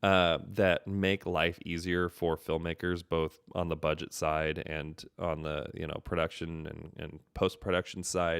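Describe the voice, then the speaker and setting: With a very deep, low pitch and an American accent, a man talks at a fairly slow pace in a monotone, flat way with hardly any pauses, the recording very clean, dry and close, with a silent background and no echo. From US Pacific Northwest, Seattle. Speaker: filmmaker and show host. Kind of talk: solo live stream commentary. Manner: casual, many fillers and restarts.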